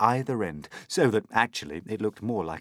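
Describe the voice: Fairly even intonation in plain reading aloud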